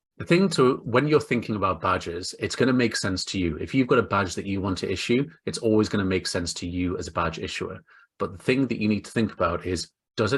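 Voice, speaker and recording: A man with an English accent, very fast, somewhat breathy, fairly low in pitch, with ordinary pitch variation over a quiet background. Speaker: webinar panelist, credentialing consultant. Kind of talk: online presentation.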